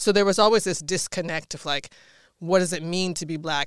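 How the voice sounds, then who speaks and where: A woman with an American accent talks at a fairly quick pace in a fairly low voice with ordinary pitch variation, recorded very cleanly against a silent background. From Washington, D.C. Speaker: artist. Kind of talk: interview. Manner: animated.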